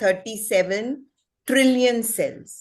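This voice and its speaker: Against a quiet background, a woman speaks in an unremarkable speaking voice with ordinary pitch variation. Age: 60s. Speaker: wellness expert. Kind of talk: presentation.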